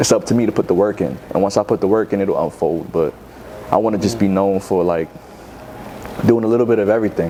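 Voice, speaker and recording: A man with a New York accent talks at a very fast pace in a fairly low pitch with ordinary pitch variation. Noticeable background noise can be heard. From New York City, Bronx. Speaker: rapper. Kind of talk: interview. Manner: casual, filler-heavy.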